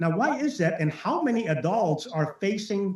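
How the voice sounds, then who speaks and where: A man with an Arabic accent, lively intonation and a moderate pace. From Lebanon. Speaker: network marketing speaker. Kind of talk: motivational talk on a webinar. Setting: webinar. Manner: animated.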